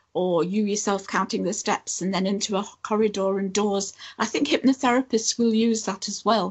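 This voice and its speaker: A woman talks at a moderate pace with hardly any pauses. Her medium-pitched voice is somewhat breathy, with fairly even intonation. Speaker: past life and soul therapist. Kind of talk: interview.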